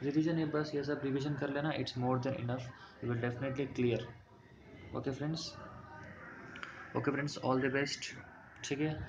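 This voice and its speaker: A man with a non-native accent talks in monotone, flat intonation with long, frequent pauses, over noticeable background noise and audible room echo. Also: fairly high pitch for a man, moderate pace. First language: not Hindi (speaking Hindi). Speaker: exam coaching teacher. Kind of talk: tutorial. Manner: mixes Hindi with English, halting Hindi.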